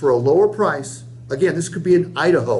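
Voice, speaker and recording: Noticeable background noise runs under the recording. A man speaks at a fairly quick pace with a fairly high pitch. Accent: American. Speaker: sales trainer. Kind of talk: sales training role-play. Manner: fast.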